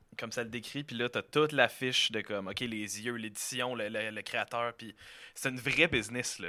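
A man with a Quebec accent has a bright, sharp tone at a medium pitch, speaking at a moderate pace with fairly even intonation. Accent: Québécois French. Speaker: podcast guest. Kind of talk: casual chat.

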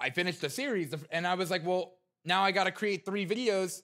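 In a very clean recording with a silent background, a man speaks loudly in a high, bright, sharp voice with an animated tone. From New Jersey. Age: 20s. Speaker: content creator. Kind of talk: casual interview chat. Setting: gaming arena studio.

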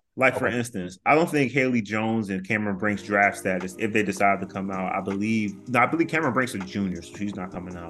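A man's fairly low voice at a very fast pace, hardly any pauses, ordinary pitch variation and big swings in loudness, over music in the background. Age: 30s. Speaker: college basketball commentator. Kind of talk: casual chat.

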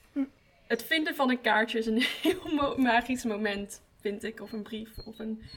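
A woman talks at a fairly high pitch and a fairly slow pace, with ordinary pitch variation. Her loudness swings a lot, and noticeable background noise is present. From Breda. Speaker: art student and podcast hostess. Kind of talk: casual chat.

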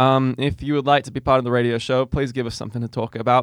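An Australian-accented man at a medium pitch and a very fast pace, the sound dry and close with no echo against a quiet background. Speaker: podcast host. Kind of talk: casual chat.

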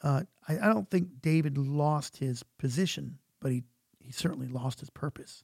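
Speaking in an American accent, a man with a fairly high pitch sounds somewhat breathy, with a dark, mellow tone. He goes at a fairly slow pace with ordinary pitch variation, in a dry, close sound with no echo. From US Midwest, St. Louis area. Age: 50s. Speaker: pastor. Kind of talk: casual chat. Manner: halting.

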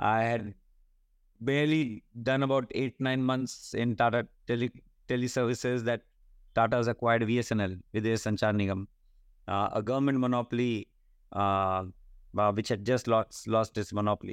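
Against a quiet background, a man in an Indian accent speaks at a moderate pace and medium pitch, with very even loudness, fairly even intonation, long, frequent pauses and a dry, close sound with no echo. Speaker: telecom executive. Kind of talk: interview. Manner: halting.

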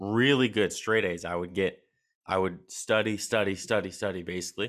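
A man with an American accent, fairly low in pitch, with ordinary pitch variation, on a very clean recording over a silent background. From Halifax, Nova Scotia, Canada. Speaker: chiropractic student and podcaster. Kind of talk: casual interview conversation. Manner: uses filler words like 'like', conversational.

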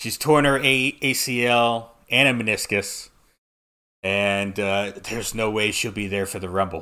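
Fairly low in pitch, a man speaks fairly slowly in a bright, sharp tone with ordinary pitch variation. The recording is very clean, with a silent background. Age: 30s. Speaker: wrestling podcast host. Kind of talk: casual chat.

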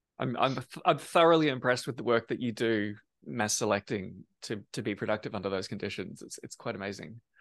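This man has an ordinary speaking voice at medium pitch, with lively intonation and a fairly quick pace. His loudness swings a lot, over a quiet background. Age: 40s. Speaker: podcast host and plant breeder. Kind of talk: casual interview.

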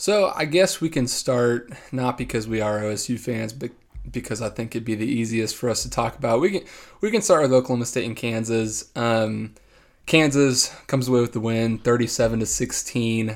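In a very clean recording with a silent background, a man uses a plain, everyday voice of medium pitch, with ordinary pitch variation and a moderate pace. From Texas, San Antonio. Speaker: sports podcast co-host. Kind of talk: casual chat.

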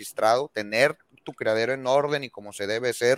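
A man with a plain, everyday voice at medium pitch, at a moderate pace with ordinary pitch variation, in a dry, close sound with no echo. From Mexico. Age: 30s. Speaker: veterinarian and dog trainer. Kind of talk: casual interview chat.

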